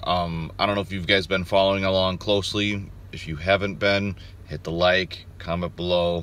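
A man speaks at a fairly quick pace in a very deep, low voice, with fairly even intonation and a dry sound that carries no echo. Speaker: outdoors vlogger. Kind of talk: casual vlog chat. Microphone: phone near.

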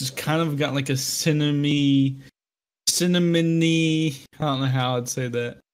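This man has an unremarkable speaking voice, pitched fairly high, with fairly even intonation at a moderate pace. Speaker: podcast co-host. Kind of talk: casual chat.

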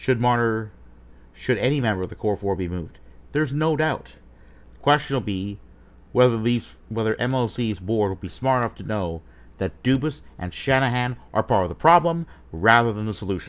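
Lively intonation marks this man's speech, delivered at a moderate pace. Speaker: sports fan vlogger. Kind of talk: commentary. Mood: critical, opinionated. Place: home room.

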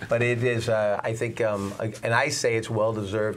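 A man speaks in a monotone with flat intonation. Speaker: local TV show co-host. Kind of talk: talk show chat. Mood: warm, grateful, joking. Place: studio.

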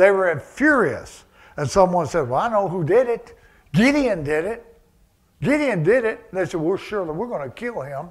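A man with a high pitch speaks at a moderate pace, his voice making very wide pitch swings against a quiet background. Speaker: preacher. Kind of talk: sermon. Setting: church service, also streamed to online viewers. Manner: conversational, with frequent fillers and chuckles. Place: church.

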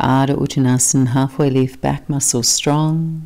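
Soft-spoken and very slow, a woman talks in a very deep, low pitch with a dark, mellow tone. Her delivery is calm and gentle, with fairly even intonation. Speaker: yoga instructor. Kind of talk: guided yoga class with calm, soothing cueing. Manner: calm, slow, soft-spoken, gentle; brisk, clipped cues during flow sequences.

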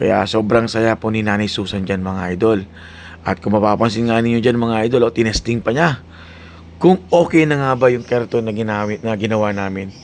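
A man talks at a fairly quick pace with a medium pitch. His pitch varies in an ordinary way. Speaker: vlogger. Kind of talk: vlog narration. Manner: loud.

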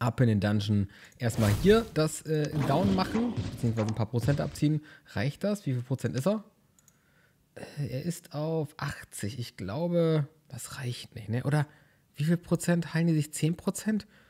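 A man talks at a fairly slow pace in a dark, mellow tone. His pitch swings very widely, and his voice is somewhat breathy. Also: fairly high pitch for a man. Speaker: gaming YouTuber. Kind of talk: let's play commentary. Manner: animated.

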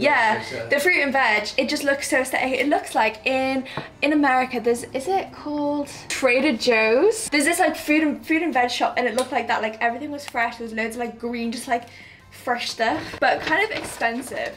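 A high-pitched woman's voice at a fairly quick pace with ordinary pitch variation, light background noise behind it. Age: 20s. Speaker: vlogger. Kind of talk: casual vlog talk to camera. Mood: cheerful, relaxed. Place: home room. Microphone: phone near.

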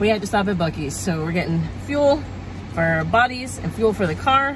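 Noticeable background noise behind a woman, the sound dry and free of echo. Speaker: family vlogger. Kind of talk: casual vlog chat. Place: car. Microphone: phone near.

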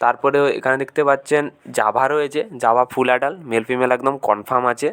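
Speaking in an ordinary speaking voice, a man holds a medium pitch. His intonation stays fairly even. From West Bengal, India (Paschim Medinipur). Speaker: bird breeder and seller, video blogger. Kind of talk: informal sales video walkthrough. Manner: casual, conversational.

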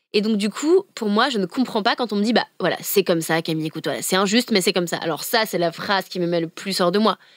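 Very fast and animated, the voice leaves hardly any pauses. The sound is dry and close with no echo, and the pitch varies in an ordinary way. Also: woman, medium pitch for a woman. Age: 20s. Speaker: climate activist. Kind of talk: interview.

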